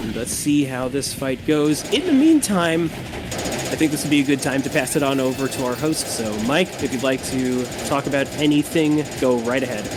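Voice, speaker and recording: Against noticeable background noise, a man with a fairly high pitch talks at a moderate pace with hardly any pauses and fairly even intonation. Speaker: speedrun commentator. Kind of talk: live commentary. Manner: halting.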